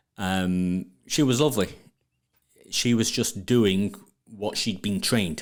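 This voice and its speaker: A man with a Sheffield accent speaks at a very slow pace with long, frequent pauses, his voice fairly low with ordinary pitch variation. The recording is very clean, with a silent background. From northern England, Sheffield. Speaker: plumbing business owner and trade marketing expert. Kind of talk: podcast interview. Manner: repetitive, stumbling on words.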